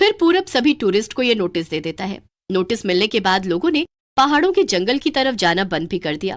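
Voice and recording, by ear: With a quiet background, the speaker is reading aloud in a natural voice.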